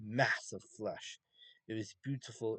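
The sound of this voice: The background stays quiet. What we hear is an unforced reading voice.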